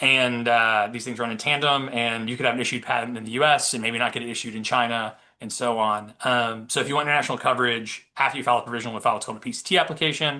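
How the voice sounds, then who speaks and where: A man talks at a very fast pace in a bright, sharp tone with fairly even intonation. The background is quiet. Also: medium pitch for a man. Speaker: patent attorney presenter. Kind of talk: webinar presentation. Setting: webinar. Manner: many fillers (um, uh).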